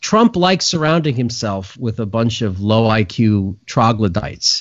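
A man's medium-pitched, ordinary speaking voice with an American accent and lively intonation. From New York City. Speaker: firearms instructor. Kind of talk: casual chat.

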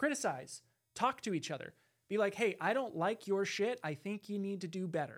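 The recording is very clean, with a silent background. The speaker goes at a moderate pace with an American accent. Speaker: podcast co-host. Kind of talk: casual banter podcast chat. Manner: joking, playful.

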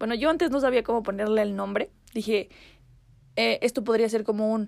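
Her tone animated, a woman speaks at a moderate pace and fairly high pitch with ordinary pitch variation. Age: 20s. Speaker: podcast host. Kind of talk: casual monologue.

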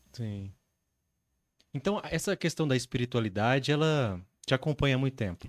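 A medium-pitched man with lively intonation at a moderate pace, long, frequent pauses, a dry, close sound with no echo, and a very clean recording with a silent background. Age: 30s. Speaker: podcast host. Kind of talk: casual chat. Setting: live-streamed studio podcast.

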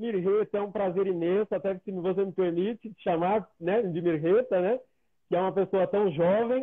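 A man's high-pitched voice with big swings in loudness. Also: moderate pace. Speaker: live show host. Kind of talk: interview. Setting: video call. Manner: animated.

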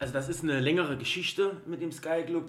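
Over noticeable background noise, a man with a fairly high pitch talks at a moderate pace. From Saarland, Germany (Eppelborn). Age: 30s. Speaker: football club fan, podcast guest. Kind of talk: casual chat.

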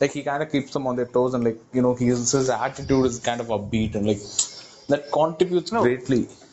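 A man talks at a fairly quick pace. Noticeable background noise can be heard. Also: medium pitch for a man, ordinary pitch variation. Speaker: podcast host. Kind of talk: casual chat. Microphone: breaking connection.

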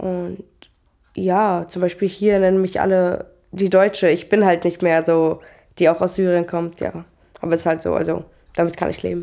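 Her pitch fairly low and her tone dark and mellow, a woman speaks in a flat monotone at a moderate pace with long, frequent pauses. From Syria (Damascus). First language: Arabic (speaking German). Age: 20s. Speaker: trainee educator. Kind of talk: interview. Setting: at home.

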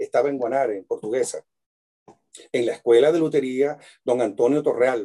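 This man has a fairly high pitch and a dark, mellow tone, talking at a moderate pace in a dry, close sound with no echo. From Venezuela, Maracaibo. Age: 60s. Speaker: luthier and cuatro player. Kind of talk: casual interview chat. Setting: video call from his workshop.

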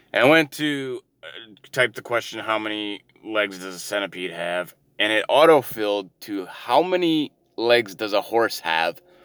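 Mumbling at a fairly slow pace, a man talks with a Canadian accent and a fairly low pitch. His intonation is lively and his loudness swings widely. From Canada, Ontario. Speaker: solo podcaster. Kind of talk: casual monologue. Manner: hesitant, many fillers.

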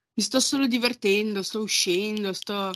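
A woman speaks with fairly even intonation. The recording is very clean, with a silent background and a dry, close sound with no echo. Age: 20s. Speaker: podcast guest. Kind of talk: casual chat.

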